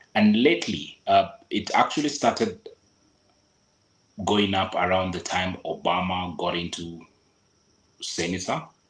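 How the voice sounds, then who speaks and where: A man's very deep, low voice in a Kenyan accent, at a fairly slow pace, with long, frequent pauses and ordinary pitch variation. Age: 40s. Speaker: local guide giving travel advice. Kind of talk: podcast interview.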